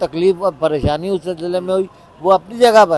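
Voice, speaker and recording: A high-pitched man with ordinary pitch variation over noticeable background noise. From Karachi, Pakistan. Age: 70s. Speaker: PhD graduate, former political activist. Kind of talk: interview answer.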